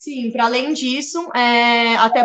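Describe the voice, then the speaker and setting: A woman in a plain, everyday voice, fairly high in pitch, with ordinary pitch variation. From São Paulo, Brazil. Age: 20s. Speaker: political scientist and youth activist. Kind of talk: interview.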